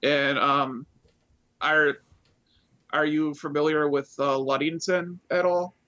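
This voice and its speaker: An American man with a fairly high pitch and a bright, sharp tone speaks in a monotone, flat way at very even loudness. His pace is very slow, with long, frequent pauses. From Wisconsin. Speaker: YouTube vocal cover singer. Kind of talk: casual chat.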